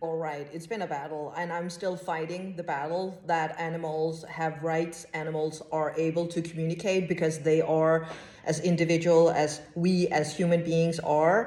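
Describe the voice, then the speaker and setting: A woman's fairly low voice, monotone and flat, at a moderate pace with hardly any pauses, amid noticeable background noise and audible room echo. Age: 40s. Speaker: clairvoyant and animal communicator. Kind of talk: podcast interview.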